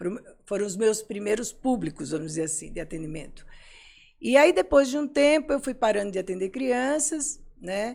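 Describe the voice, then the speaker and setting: Over a silent background in a very clean recording, a woman with a fairly high pitch talks at a moderate pace, making very wide pitch swings and big swings in loudness. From Brazil, Pernambuco (Recife). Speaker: psychologist and psychoanalyst. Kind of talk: interview conversation.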